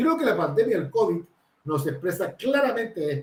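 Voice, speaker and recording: A man speaks at a moderate pace in a somewhat breathy voice. His pitch swings very widely. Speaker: researcher and consultant on drug prevention. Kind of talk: panel talk. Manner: hesitant, many fillers.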